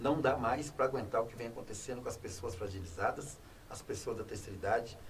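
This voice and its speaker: Very fast speech from a man at medium pitch, with ordinary pitch variation. Audible room echo surrounds the voice. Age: 60s. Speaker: former public official. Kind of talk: talk show interview.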